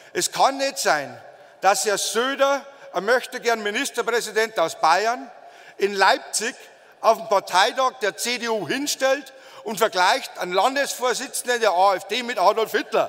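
Against a quiet background, a man with a high pitch speaks at a fairly slow pace with ordinary pitch variation. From Bavaria. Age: 40s. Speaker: politician. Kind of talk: campaign speech. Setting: party convention stage with audience. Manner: emphatic. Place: hall. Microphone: podium.

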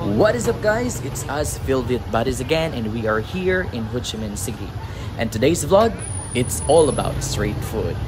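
Moderate-paced speech over crowd noise in the background. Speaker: travel vlogger. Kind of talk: casual vlog chat. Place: street. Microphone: phone near.

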